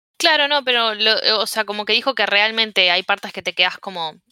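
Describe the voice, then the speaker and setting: Bright and sharp in tone, a woman's medium-pitched voice moves at a fairly quick pace with lively intonation, recorded with a dry, close sound and no echo. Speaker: podcast co-host. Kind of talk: casual chat.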